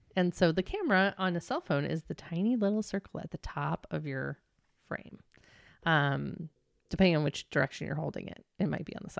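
Dry and close with no echo, a woman's fairly low voice shows vocal fry and ordinary pitch variation at a fairly quick pace. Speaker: podcast co-host and business owner. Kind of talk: casual chat. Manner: fast.

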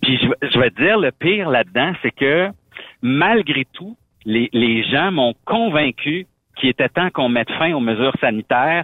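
A man talks in a normal speaking voice at a fairly high pitch. His intonation is lively and his pace fairly slow. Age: 40s. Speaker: truck driver and former radio host. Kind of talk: casual chat.

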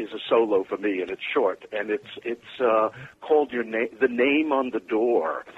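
Here is a man with an American accent and a plain, everyday voice. His pitch is medium. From New York. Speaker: musical theatre writer. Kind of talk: casual interview chat. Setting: phone call.

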